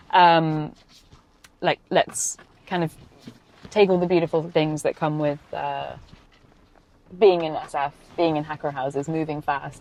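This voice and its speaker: With a very deep, low pitch, a woman speaks at a fairly slow pace in monotone, flat intonation, leaving long, frequent pauses. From Europe, no fixed country. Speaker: venture investor. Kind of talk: casual chat. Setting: in a car.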